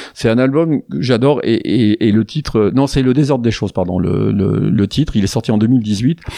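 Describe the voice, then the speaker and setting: Lively in intonation, a man at a medium pitch talks at a moderate pace in a dark, mellow tone, the sound dry and close with no echo. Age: old. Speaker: radio show host. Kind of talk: casual chat. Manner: halting.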